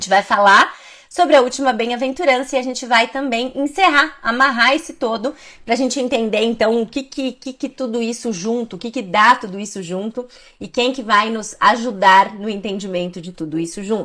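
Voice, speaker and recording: A woman speaks at a moderate pace in a bright, sharp tone, fairly high in pitch with ordinary pitch variation and big swings in loudness. The recording is very clean, with a silent background. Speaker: Bible teacher. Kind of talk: Bible study talk.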